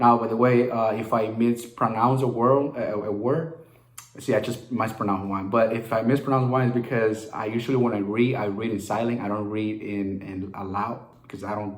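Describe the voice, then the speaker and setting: A man with a Spanish accent speaks at a moderate pace and a medium pitch, using fairly even intonation. There is audible room echo and noticeable background noise. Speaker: real estate wholesaler. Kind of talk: casual vlog talk; reading aloud. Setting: at home. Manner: halting, with frequent fillers and repeats.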